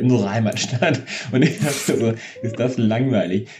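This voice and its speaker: A man speaks with a fairly low pitch. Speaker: podcast co-host. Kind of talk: casual chat.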